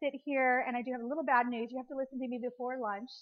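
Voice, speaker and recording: A woman speaks very fast in a high pitch. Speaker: speaker at a women's business luncheon. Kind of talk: luncheon presentation. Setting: restaurant with live audience. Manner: fast-talking.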